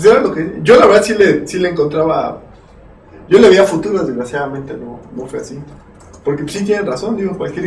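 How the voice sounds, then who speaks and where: A man with a central Mexican accent talks at a fairly quick pace, his pitch fairly high and his intonation lively, with big swings in loudness. Audible room echo and noticeable background noise fill the recording. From Mexico, Cuernavaca (Morelos). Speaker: software developer. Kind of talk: casual chat.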